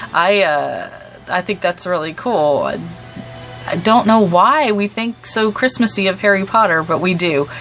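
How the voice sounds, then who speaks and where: Music plays in the background while a woman speaks at medium pitch. She moves at a fairly slow pace with lively intonation. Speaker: book video creator. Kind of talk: casual talk to camera. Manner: hesitant, many fillers.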